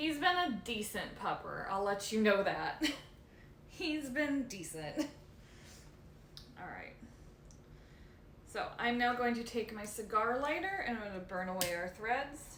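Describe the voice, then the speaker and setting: Loud and fairly slow, a woman speaks at a fairly high pitch with very wide pitch swings and long, frequent pauses, amid audible room echo and noticeable background noise. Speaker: leather care streamer. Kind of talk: casual live stream chat while working. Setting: live stream from home. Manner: soft-spoken when absorbed in work; normally loud.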